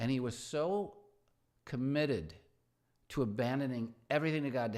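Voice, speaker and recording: In a very clean recording with a silent background, a man talks in an unremarkable speaking voice with ordinary pitch variation. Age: 60s. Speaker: pastor. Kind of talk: casual livestream talk. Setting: livestream at home with dog.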